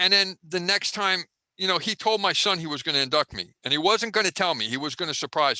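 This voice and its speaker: Over a dry, close sound with no echo, a man speaks very fast in a high, bright, sharp tone with ordinary pitch variation. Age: 60s. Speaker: retired wrestling ring builder and crew member. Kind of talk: interview storytelling. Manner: halting, many repeated words.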